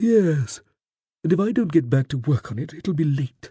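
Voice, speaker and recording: A man puts on a character voice at a fairly high pitch. His pace is moderate. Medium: read story. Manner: aloof, sardonic.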